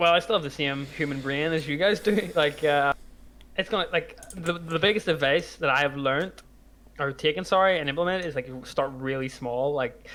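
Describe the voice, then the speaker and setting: A man with an unremarkable speaking voice, fairly high pitch, moderate pace and ordinary pitch variation. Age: 20s. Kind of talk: casual chat.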